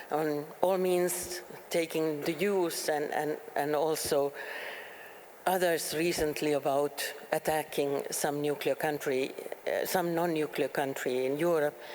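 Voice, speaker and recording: A woman speaks at a fairly slow pace with a very deep, low pitch and monotone, flat intonation. Noticeable background noise runs underneath. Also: very even loudness. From Finland. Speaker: politician and peace researcher. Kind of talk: panel discussion. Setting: stage with audience. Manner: halting.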